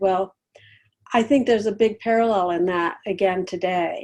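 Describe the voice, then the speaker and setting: At a moderate pace, a woman speaks at medium pitch with a dark, mellow tone and fairly even intonation. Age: 70s. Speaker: quilt designer and shop owner. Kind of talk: interview. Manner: conversational, hesitant.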